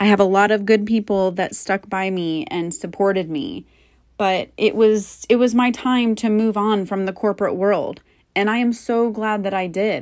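In an unremarkable speaking voice, a woman speaks at a medium pitch and moderate pace with ordinary pitch variation on a very clean recording with a silent background. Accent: American. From Florida. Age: 30s. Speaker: podcast host. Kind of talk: personal monologue.

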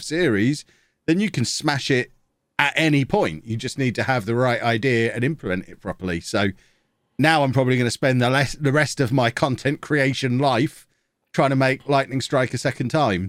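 A man talks fairly quickly at medium pitch in a plain, everyday voice. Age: 40s. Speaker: football video game content creator. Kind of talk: casual interview chat.

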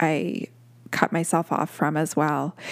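Vocal fry runs through this woman's speech, which moves at a fairly slow pace. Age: 40s. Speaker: podcast host. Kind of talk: solo monologue. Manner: casual, with many fillers.

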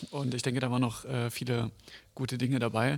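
A man's medium-pitched voice, fairly quick and monotone, with flat intonation. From Germany, Oranienburg. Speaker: podcast co-host, youth party member. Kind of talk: interview. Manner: halting, many fillers.

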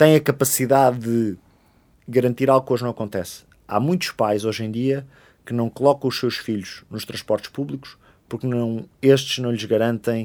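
Using a normal speaking voice, a man talks at a moderate pace with ordinary pitch variation in a very clean recording with a silent background. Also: medium pitch for a man. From Portugal, Oeiras (Lisbon area). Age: 20s. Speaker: politician. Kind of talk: interview.

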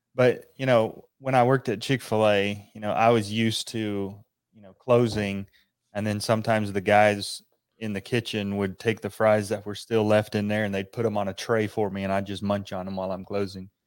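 Fairly low-pitched man with monotone, flat intonation, big swings in loudness and a moderate pace. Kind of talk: casual Bible study discussion. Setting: video call.

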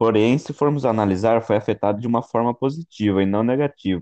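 A man with a fairly low, dark, mellow voice, ordinary pitch variation and a fairly quick pace, in a dry, close recording with no echo and a quiet background. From Brazil, São Paulo state interior. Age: 20s. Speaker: logistics student. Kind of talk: student podcast presentation.

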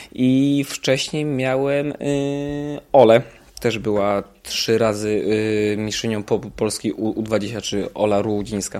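A man at a medium pitch, speaking at a very slow pace with ordinary pitch variation. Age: 30s. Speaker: triathlon coach, former professional triathlete. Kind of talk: casual interview. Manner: hesitant, many fillers.

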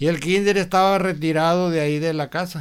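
Here a man with a high pitch and ordinary pitch variation speaks at a moderate pace. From Los Mochis, Sinaloa, Mexico. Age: 70s. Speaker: retired factory worker, grandfather. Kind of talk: casual interview.

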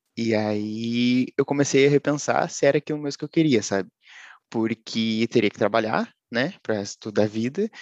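A man in a normal speaking voice, at a moderate pace with fairly even intonation, dry and close with no echo against a quiet background. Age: 20s. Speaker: data science student and software tester. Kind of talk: casual interview.

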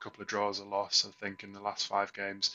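The speaker has an English accent and keeps to a moderate pace. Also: man. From England. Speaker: football podcast co-host. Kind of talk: casual chat. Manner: halting.

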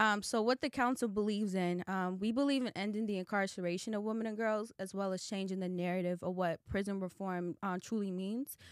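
A woman's ordinary speaking voice at a medium pitch, fairly quick with hardly any pauses and fairly even intonation, dry and close with no echo on a very clean recording with a silent background. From Boston, Massachusetts (Roxbury). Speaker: nonprofit advocate for incarcerated women. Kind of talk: interview conversation.

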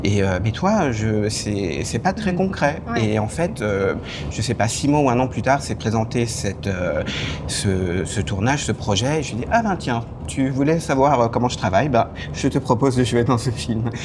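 Speaking at a fairly slow pace with lively intonation, a man with a medium pitch comes through over noticeable background noise. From France. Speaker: screenwriter and film director. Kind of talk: casual interview. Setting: restaurant.

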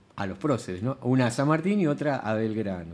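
A man speaks with a medium pitch. His intonation is lively. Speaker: retired history teacher. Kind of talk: casual chat. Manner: halting.

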